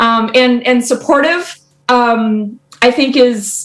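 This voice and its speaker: A woman talks at a high pitch. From United States. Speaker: biology professor. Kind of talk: podcast interview. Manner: energetic; loud.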